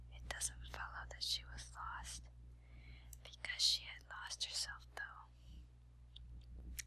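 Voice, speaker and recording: A soft-spoken whisper at a very slow pace. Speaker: ASMR reader. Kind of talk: sleep story. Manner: whispered.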